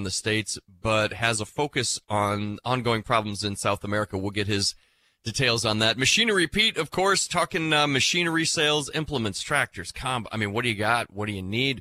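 This man's voice has a bright, sharp tone and ordinary pitch variation, recorded with a dry, close sound and no echo. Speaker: radio host. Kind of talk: casual radio interview. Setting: studio.

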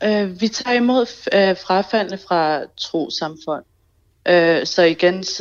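At a very slow pace, a woman talks with medium pitch and ordinary pitch variation. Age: 30s. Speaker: association chairperson. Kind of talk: radio interview. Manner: halting.

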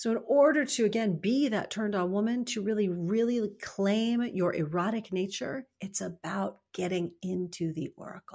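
A woman speaks in an ordinary speaking voice at a medium pitch with ordinary pitch variation. She keeps a moderate pace with hardly any pauses. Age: 50s. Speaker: author and mentor. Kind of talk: interview.

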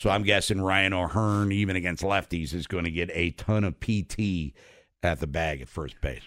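The speaker is a man with a very deep, low pitch. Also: very clean recording, silent background. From Maryland, US. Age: 50s. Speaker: sports radio host. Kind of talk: casual chat.

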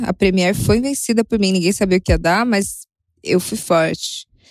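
Dry and close with no echo, a woman speaks at a fairly high pitch. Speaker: listener sharing a story. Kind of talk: recorded voice message. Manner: animated.

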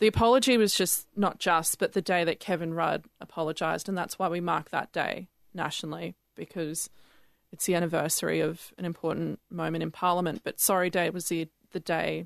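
A woman with a fairly low voice and vocal fry speaks at a fairly quick pace with fairly even intonation, in a dry, close sound with no echo and a quiet background. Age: 20s. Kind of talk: casual chat. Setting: studio.

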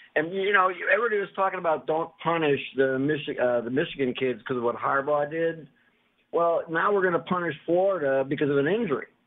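With an American accent, a man talks fairly quickly in an unremarkable speaking voice. His intonation is lively. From Ohio. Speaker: radio caller. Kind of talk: call-in sports talk.

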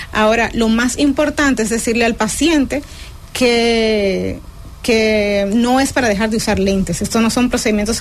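Fairly even intonation at a moderate pace comes through noticeable background noise. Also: woman. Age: young. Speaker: ophthalmologist. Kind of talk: radio health interview.

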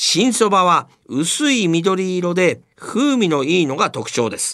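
Pitched high, a man's voice moves in very wide pitch swings. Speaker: radio host. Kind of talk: scripted narration.

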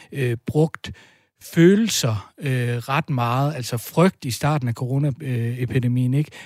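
Somewhat breathy and fairly high-pitched, a man speaks at a fairly slow pace with ordinary pitch variation on a very clean recording with a silent background. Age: 30s. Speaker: folk high school teacher. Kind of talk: casual chat. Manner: halting.

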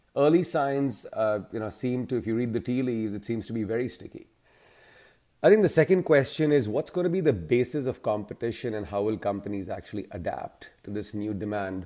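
A man's dark, mellow voice at medium pitch and a fairly quick pace. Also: lively intonation. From India. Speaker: management consultant. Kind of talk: interview.

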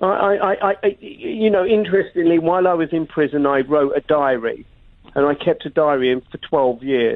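A man with a London accent, high pitch, lively intonation and a moderate pace. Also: very even loudness. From London, England. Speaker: investigative journalist and TV presenter. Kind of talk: radio interview. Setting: phone call from London.

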